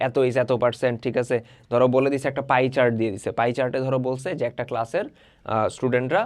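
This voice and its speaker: In a plain, everyday voice, a man speaks at a medium pitch with fairly even intonation against a quiet background. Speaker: online tutor. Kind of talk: tutorial. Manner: casual, conversational.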